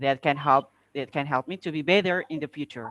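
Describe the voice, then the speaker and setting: A man speaks with an Indonesian accent and ordinary pitch variation. The sound is dry and close with no echo, on a very clean recording with a silent background. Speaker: public speaking contestant. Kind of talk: impromptu speech answer. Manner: halting, hesitant.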